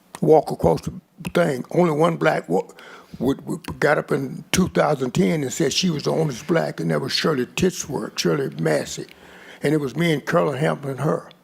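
His pitch swinging very widely, a man with a fairly high voice talks at a moderate tempo over noticeable background noise. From Kentucky (Paducah). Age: 80s+. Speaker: public commenter at city meeting. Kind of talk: public comment. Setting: city commission meeting chamber. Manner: halting.

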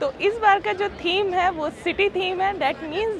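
A woman speaks in a dry recording with no echo while crowd noise carries on behind her. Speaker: vlogger host. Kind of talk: casual vlog intro. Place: street. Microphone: lapel.

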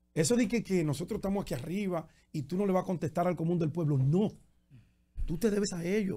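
This man's voice is high-pitched, with a dark, mellow tone. He talks at a very fast pace with ordinary pitch variation. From Dominican Republic, Santo Domingo. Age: 50s. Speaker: journalist and political candidate. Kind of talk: radio interview.

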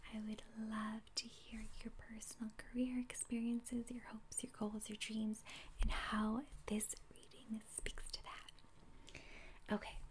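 Soft-spoken and calm in tone, a woman talks at a fairly slow pace with monotone, flat intonation over light background noise. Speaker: ASMR creator. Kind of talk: ASMR tarot reading and teaching. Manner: softly spoken, calm. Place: home room. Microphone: phone near.

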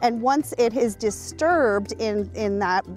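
There is faint music in the background as a woman speaks, in a dry sound with no echo. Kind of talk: interview answer. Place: waterside.

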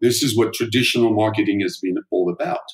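A man with a French accent at a moderate pace, with ordinary pitch variation. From France. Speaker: neuromarketing author and agency founder. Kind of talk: interview.

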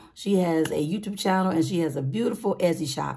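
Her voice has a dark, mellow tone, and this woman speaks with lively intonation. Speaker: budgeting YouTuber. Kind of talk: casual vlog with saving challenge game. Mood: warm, upbeat.

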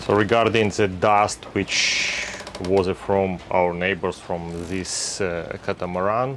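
A very slow man's voice, very deep and low in pitch, with ordinary pitch variation over light background noise. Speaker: sailing vlogger. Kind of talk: casual vlog chat. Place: boat.

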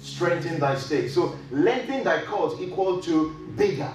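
A man talks at a moderate pace in a room with audible echo and light background noise. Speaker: pastor preaching. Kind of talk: sermon. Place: hall.

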